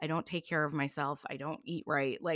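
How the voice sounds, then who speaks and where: A woman's very deep, low voice in a Californian accent, with fairly even intonation, a moderate pace and a very clean recording over a silent background. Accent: Californian American English. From Southern California, Long Beach. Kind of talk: casual chat.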